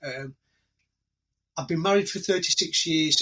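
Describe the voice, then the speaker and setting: Speaking in an English accent, a man has a high pitch and a bright, sharp tone. His pace is fairly slow. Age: 60s. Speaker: retired police officer and army veteran. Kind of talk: casual interview. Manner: halting, with many repetitions.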